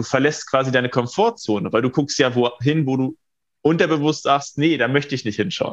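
Moving at a fairly quick pace, an ordinary speaking voice delivers the words. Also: man. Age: 20s. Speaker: feng shui consultant and coach. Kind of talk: interview.

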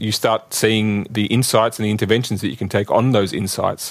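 This man talks at a fairly quick pace in an Australian accent. His pitch sits fairly low. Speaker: telecom executive. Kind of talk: interview.

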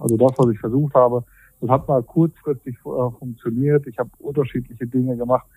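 Fairly quick and monotone, a man speaks at medium pitch with a dark, mellow tone in a dry, close sound with no echo. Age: 40s. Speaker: weight-loss coaching client. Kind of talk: interview. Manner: halting.

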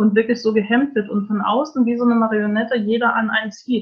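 Somewhat breathy and fairly high-pitched, a woman speaks at a fairly quick pace. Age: 40s. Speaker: life coach. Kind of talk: interview. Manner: hesitant, many fillers.

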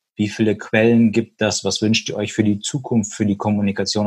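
In a plain, everyday voice, a man speaks at medium pitch. The background is quiet. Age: 30s. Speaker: hearing aid industry business consultant. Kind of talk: casual interview.

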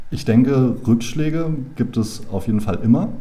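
Audible room echo surrounds this recording. A man with a medium pitch speaks at a fairly slow pace. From Berlin, Germany. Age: 20s. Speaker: founder and business angel club member. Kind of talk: casual interview chat. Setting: in a room face to face.

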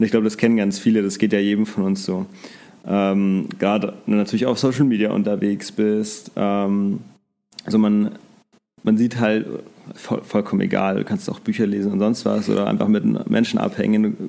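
A man's dark, mellow voice at a fairly low pitch, flat and monotone, at a moderate pace. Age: 20s. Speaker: social media coaching business worker. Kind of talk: interview.

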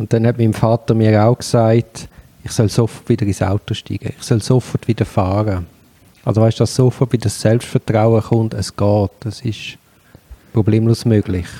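This man's voice has a dark, mellow tone at a medium pitch. His intonation is monotone and flat. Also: moderate pace, dry, close sound with no echo. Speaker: podcast host, lawyer. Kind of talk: interview. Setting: guest's place.

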